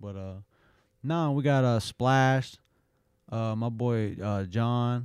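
A man at a medium pitch with an American accent, speaking at a very slow pace with long, frequent pauses and ordinary pitch variation, on a very clean recording with a silent background. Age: 30s. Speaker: jiu-jitsu coach and fighter. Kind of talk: casual chat.

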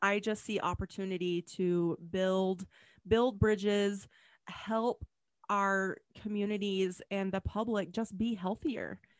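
With an ordinary speaking voice, a woman of medium pitch talks at a fairly slow pace, the sound dry and close with no echo, over a quiet background. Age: 40s. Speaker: podcast host, pharmacist and health coach. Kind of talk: casual interview chat.

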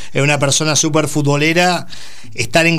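Over noticeable background noise and audible room echo, a man with a Rioplatense accent talks at a moderate pace in a fairly high voice. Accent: Argentine Rioplatense Spanish. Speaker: radio host. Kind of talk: radio interview.

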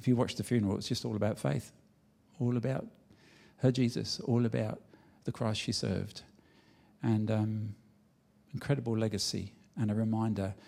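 A man speaks at a medium pitch in a dark, mellow tone. He leaves long, frequent pauses. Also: ordinary pitch variation, moderate pace. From England. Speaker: pastor, charity representative. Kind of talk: sermon. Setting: church with audience.

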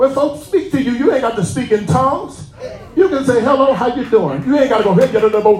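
Over noticeable background noise and audible room echo, the speaker talks very fast in an animated tone with lively intonation. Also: man, extremely high pitch for a man. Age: 40s. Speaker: pastor. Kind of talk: sermon.

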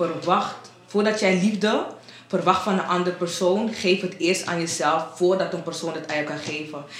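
A woman speaks at a fairly low pitch. There is audible room echo and noticeable background noise. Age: 20s. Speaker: home care worker. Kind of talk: casual chat. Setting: radio studio.

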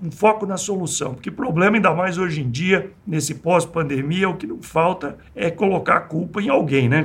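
Here a man with an ordinary speaking voice talks at a fairly high pitch and a moderate pace, with ordinary pitch variation. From Brazil, rural interior of São Paulo state. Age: 60s. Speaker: engineer and entrepreneur. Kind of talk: interview.

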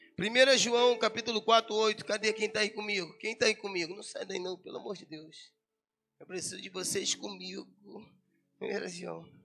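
With music in the background, a man speaks in a raised, projected, high-pitched voice at a moderate pace, his loudness swinging widely. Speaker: pastor. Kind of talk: sermon. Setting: church. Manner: animated.

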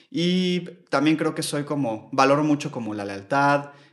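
Speaking at a fairly slow pace, a man talks with a Mexico City accent. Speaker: yoga teacher. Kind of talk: casual chat.

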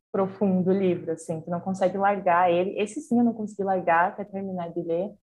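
The woman's somewhat breathy voice stays monotone and flat in intonation. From Brazil, interior of Rio Grande do Sul. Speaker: journalist. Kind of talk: casual chat. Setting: video call.

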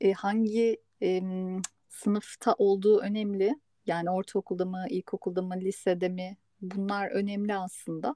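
The voice has a dark, mellow tone and a monotone, flat intonation at a fairly slow pace. The sound is dry and close with no echo, against a quiet background. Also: woman, medium pitch for a woman. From Istanbul, Turkey. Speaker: podcast host on migration psychology. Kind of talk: casual chat.

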